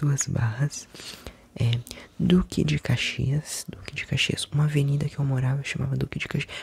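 A man whispering, in a dry sound with no echo. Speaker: ASMR creator. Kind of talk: ASMR whispering city names. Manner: whispered. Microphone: studio mic.

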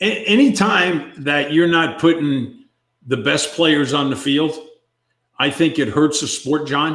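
The gruff voice moves at a very slow pace with ordinary pitch variation, against a quiet background with audible room echo. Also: man, fairly high pitch for a man. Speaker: former baseball player. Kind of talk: casual banter. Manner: grumpy, gruff, opinionated. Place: home room.

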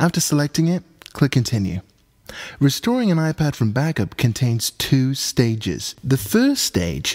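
A man with a British accent speaks at a fairly slow pace with lively intonation, in a dry, close sound with no echo. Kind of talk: tech tutorial narration.

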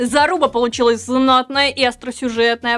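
Her pitch is fairly high. The woman speaks at a moderate pace. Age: 30s. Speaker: tech news presenter; news show host. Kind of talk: news roundup vlog. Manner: animated. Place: studio.

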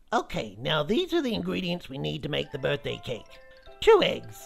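A cartoonish character voice moves at a moderate pace over faint background music. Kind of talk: comedic kids web series dialogue. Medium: puppet.

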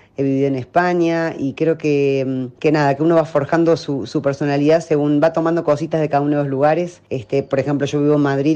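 A woman speaks very fast in a very deep, low voice, her tone dark and mellow and her intonation flat and monotone. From Córdoba, Argentina. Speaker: actress and acting teacher. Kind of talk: radio interview.

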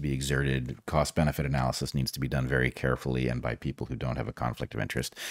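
A man with a very deep, low pitch speaks with vocal fry in a dry sound with no echo. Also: quiet background. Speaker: podcast host. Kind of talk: podcast commentary. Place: home room. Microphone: studio mic.

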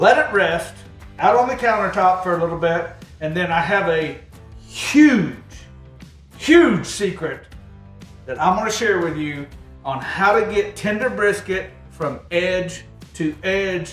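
Audible room echo and faint background music surround a high-pitched man who talks at a fairly slow pace with long, frequent pauses. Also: ordinary pitch variation. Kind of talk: tutorial. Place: kitchen. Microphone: camera far.

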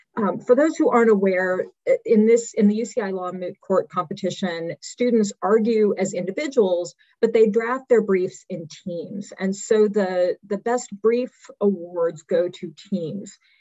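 Speaking at a fairly slow pace, a woman uses a medium pitch with ordinary pitch variation. The background is quiet. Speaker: law professor; event host presenting awards. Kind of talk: award announcements. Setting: video call. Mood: warm, congratulatory. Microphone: video call.

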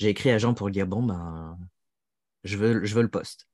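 Over a quiet background, a man speaks at a fairly slow pace, his fairly low pitch showing ordinary variation. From France. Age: 40s. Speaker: author and translator; interviewee. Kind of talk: interview conversation. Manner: hesitant, many fillers. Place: home room. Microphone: earbuds.

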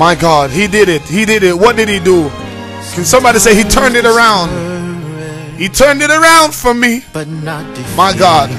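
Over clear music in the background, a man talks fairly quickly in a raised, projected voice, high in pitch with very wide swings. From Jamaica. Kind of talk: radio preaching, call and response. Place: studio. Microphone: studio mic.

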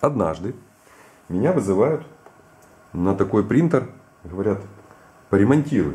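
The voice has a dark, mellow tone and big pitch swings, with audible room echo. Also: man, fairly low pitch for a man, fairly slow pace.

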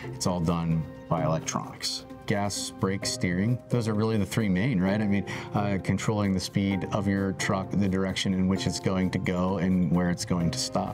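Clear music plays in the background while the speech moves at a moderate pace. Pitch varies in an ordinary way and loudness stays very even. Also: man, very deep, low pitch for a man. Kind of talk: interview answer. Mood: friendly, relaxed. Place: garage.

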